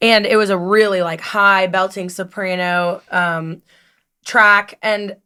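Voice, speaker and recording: This woman has a medium pitch, an American accent and a bright, sharp tone, with fairly even intonation. She speaks at a very slow pace on a very clean recording with a silent background. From US Midwest, Cincinnati, Ohio. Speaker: kindergarten assistant teacher and former musical theater actor. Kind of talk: casual chat.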